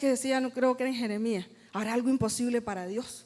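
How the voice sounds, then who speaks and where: A woman speaks at a fairly quick pace in a high voice. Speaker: worship singer. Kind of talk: testimony. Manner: fast; combative tone.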